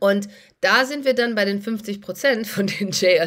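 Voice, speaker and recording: A woman speaks with a bright, sharp tone and lively intonation. The background is quiet. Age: 40s. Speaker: doctor and finance YouTuber; finance YouTuber. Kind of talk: casual vlog monologue. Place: home room. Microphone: phone near.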